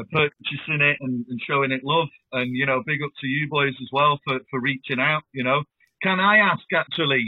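A man with a Lancashire accent, fairly high in pitch, ordinary in pitch variation, at a moderate pace. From northern England, Blackpool. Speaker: rapper. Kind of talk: interview chat.

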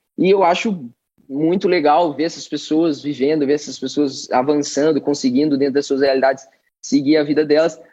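Fairly even intonation runs through this voice, which carries a dark, mellow tone. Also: man, fairly high pitch for a man, moderate pace. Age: 20s. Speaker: college athlete and student abroad. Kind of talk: casual chat.

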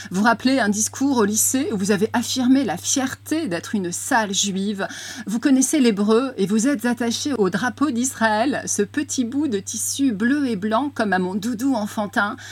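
A woman with a fairly high pitch and ordinary pitch variation talks at a fairly slow pace, hardly pausing. Noticeable background noise can be heard. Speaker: radio host. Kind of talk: interview.

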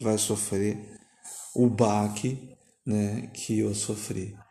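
With audible room echo, a man talks at a very slow pace in a fairly low pitch, his dark, mellow tone held to a monotone, flat intonation. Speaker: podcast host. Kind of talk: casual chat. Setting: home.

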